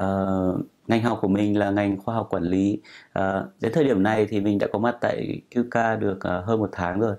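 Over a quiet background, a man talks at a fairly slow pace and a fairly low pitch, with fairly even intonation and very even loudness. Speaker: international student. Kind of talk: student testimonial. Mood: relaxed, friendly. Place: home room. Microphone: camera far.

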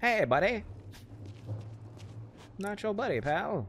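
Putting on a character voice, a man speaks high-pitched at a fairly slow pace. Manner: casual.

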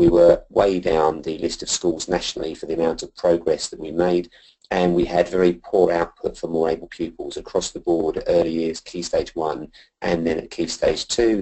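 Nothing much is heard in the quiet background. A man talks at a fairly quick pace. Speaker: school head teacher presenting. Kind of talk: presentation. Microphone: video call.

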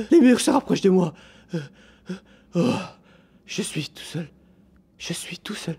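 In a put-on character voice at middle pitch, the speaker goes at a fairly slow pace with long, frequent pauses.

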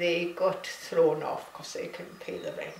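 A woman with a Hebridean accent speaks amid light background noise and audible room echo. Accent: Scottish Hebridean. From Isle of Lewis, Outer Hebrides, Scotland. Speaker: artist. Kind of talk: interview answer. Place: home room. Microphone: camera far.

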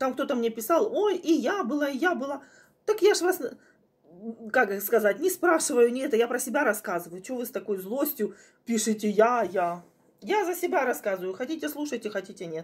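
Her high voice swings very widely in pitch as this woman talks at a moderate pace with long, frequent pauses. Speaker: home vlogger. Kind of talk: casual vlog chat. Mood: chatty, slightly indignant. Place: home room. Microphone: phone near.

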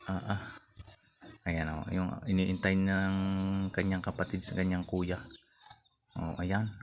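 A man with a very deep, low pitch talks at a fairly slow pace, with long, frequent pauses. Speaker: vlogger. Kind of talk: vlog narration. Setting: outdoors. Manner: animated.

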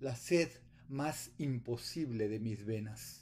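Very slow and solemn, the voice has a dark, mellow tone and is somewhat breathy. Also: man. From Guadalajara, Mexico. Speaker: poet. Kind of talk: poetry reading with a spoken greeting and message of solidarity. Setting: video message recorded remotely. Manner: solemn, measured, reflective. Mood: calm, solemn. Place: home room. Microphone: webcam.

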